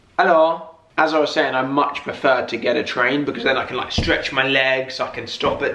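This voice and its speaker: A man's monotone, flat delivery at a moderate pace, with light background noise and audible room echo. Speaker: vlogger. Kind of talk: casual vlog chat. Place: home room. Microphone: camera far.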